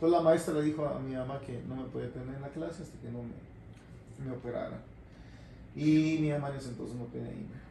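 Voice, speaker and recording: Amid noticeable background noise and audible room echo, a man at medium pitch speaks at a fairly quick pace with fairly even intonation and big swings in loudness. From Mexico, Jalisco (Guadalajara). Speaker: radio host and promotions director. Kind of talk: casual interview, life story.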